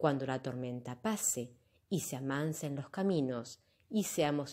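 This woman's voice sits very deep and low, with a dark, mellow tone and lively intonation. She speaks at a fairly slow pace on a very clean recording with a silent background. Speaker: yoga teacher or channel host reading a poem. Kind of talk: poem reading, solemn and reflective, performed aloud. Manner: slow, measured, heartfelt; earnest, contemplative, with emotional emphasis.

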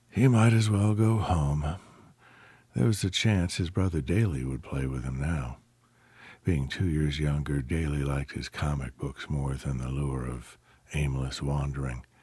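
A man with a very deep, low pitch and a dark, mellow, dramatic tone, somewhat breathy, at a fairly slow pace with lively intonation. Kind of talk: audiobook narration. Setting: audiobook sample. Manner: dramatic, storytelling delivery with character voices.

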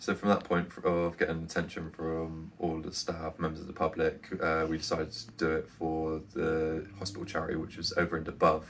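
A man with a very deep, low pitch speaks in a monotone, flat intonation over light background noise. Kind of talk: to-camera appeal.

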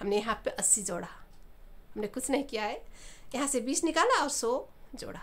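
A woman's high, raised and projected voice with a bright, sharp tone and a non-native accent, at a moderate pace. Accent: non-native Hindi. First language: not Hindi (speaking Hindi). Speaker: abacus teacher. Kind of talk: tutorial.

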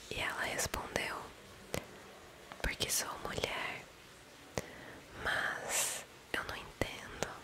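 A woman whispers. Her pace is very slow. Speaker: ASMR creator. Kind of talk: ASMR whispering video, reading a message aloud. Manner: whispered, soft. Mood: calm, gentle, sleepy. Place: home room. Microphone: studio mic.

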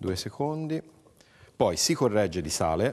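Very wide pitch swings mark this man's voice. He talks at a fairly slow pace. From Livorno, Tuscany. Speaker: chef. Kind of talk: cooking demonstration.

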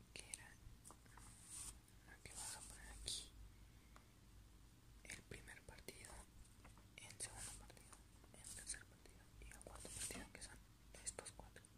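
Someone whispers softly at a fairly slow pace. Long pauses come often. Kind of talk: casual commentary. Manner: soft ASMR whisper. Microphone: phone near.

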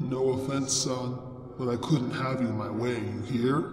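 With clear music in the background and clear echo, a man uses a put-on character voice. His pitch is medium and his pace fairly slow. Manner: menacing, taunting, vulgar.

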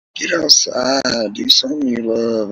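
At a fairly slow pace, a man speaks in a bright, sharp tone with a slightly husky edge, vocal fry and big pitch swings.

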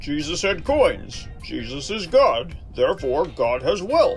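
Over clear background music, a man speaks at a fairly slow pace. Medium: machinima.

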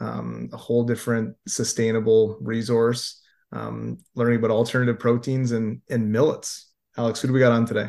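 Monotone, flat intonation from a man of medium pitch at a moderate pace. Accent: Canadian. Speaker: podcast host. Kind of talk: casual interview. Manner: casual, laughs often.

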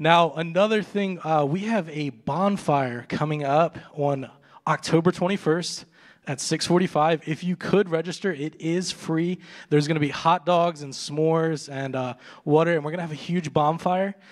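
The background is quiet as a man speaks at a fairly slow pace. His intonation stays fairly even. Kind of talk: announcements to congregation. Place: church. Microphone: handheld.

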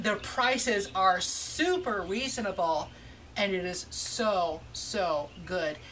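A woman talks with lively intonation. Light background noise can be heard. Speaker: food vlogger. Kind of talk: casual restaurant review vlog. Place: street. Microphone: camera far.

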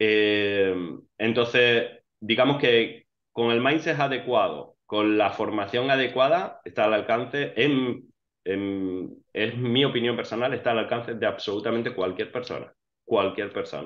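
Speaking at a fairly slow pace, a man shows ordinary pitch variation over a quiet background. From Spain. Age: 40s. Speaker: financially independent investor; interview guest. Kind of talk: interview. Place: home room. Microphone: earbuds.

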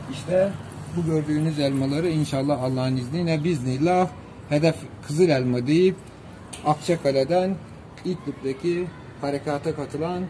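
At a moderate pace, a man speaks with a fairly high pitch and fairly even intonation amid noticeable background noise. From Turkey, Denizli (Çivril); Turkey. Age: 70s. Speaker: apple grower. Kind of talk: short interview statement. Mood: proud, patriotic, cheerful. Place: street. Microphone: phone near.

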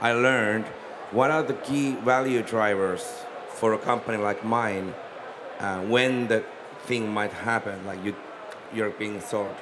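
A man speaks at a fairly slow pace with fairly even intonation and long, frequent pauses, over noticeable background noise. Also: medium pitch for a man. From Finland. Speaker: company founder and CEO. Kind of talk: panel discussion. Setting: stage with audience.

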